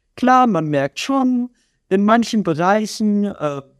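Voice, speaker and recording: Heard with a dry, close sound and no echo, a man speaks in a high pitch. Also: quiet background. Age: 20s. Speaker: guest musician and IT contract manager. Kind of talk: casual interview.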